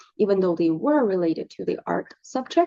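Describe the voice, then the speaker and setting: Someone speaks with a Russian accent in a dry, close sound with no echo. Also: woman. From Russia, Moscow. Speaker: artist, painter. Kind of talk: casual vlog monologue and Q&A. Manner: hesitant, many fillers.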